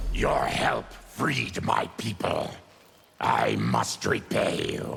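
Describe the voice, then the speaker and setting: Growling in a put-on character voice, a man speaks at a very slow pace. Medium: video game. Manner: grim, resolute.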